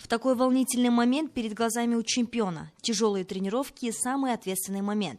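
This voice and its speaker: A woman talks at a fairly quick pace with a fairly high pitch, ordinary pitch variation and hardly any pauses. Her loudness swings widely, and music plays behind her. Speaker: TV news presenter. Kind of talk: TV news report voiceover.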